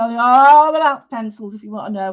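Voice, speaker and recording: Ordinary pitch variation marks this voice with a strong Manchester accent, heard against a quiet background. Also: woman. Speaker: art teacher. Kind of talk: live-stream drawing tutorial. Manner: chatty, informal, with many fillers.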